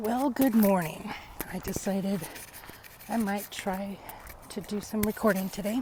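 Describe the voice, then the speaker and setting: With an American accent, a woman talks at a medium pitch and a fairly slow pace with fairly even intonation. Long pauses come often, and background noise is noticeable. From US South, Alabama (Montgomery). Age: 40s. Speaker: vlogger telling personal story. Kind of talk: personal testimony vlog. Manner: hesitant, many fillers.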